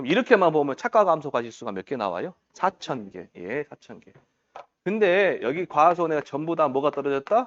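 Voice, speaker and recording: Very wide pitch swings in a man's fairly high-pitched speech. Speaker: exam prep lecturer. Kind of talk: lecture. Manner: fast; animated, questioning.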